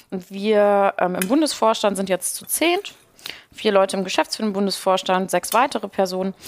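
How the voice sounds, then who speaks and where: Heard with a dry, close sound with no echo, a woman with a plain, everyday voice speaks at a moderate pace and medium pitch, with ordinary pitch variation and big swings in loudness. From Ruhr area, Germany. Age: 20s. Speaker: youth party spokesperson. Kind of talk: casual chat while cooking.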